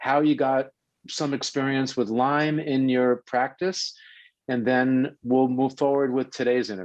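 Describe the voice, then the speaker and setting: A man speaks with a New York accent at a medium pitch and a moderate pace. His intonation stays fairly even. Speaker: health radio show host. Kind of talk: interview introduction.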